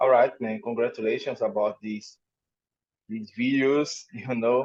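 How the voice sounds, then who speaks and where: This man has a strong non-native accent and monotone, flat intonation. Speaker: music interviewer. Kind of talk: interview.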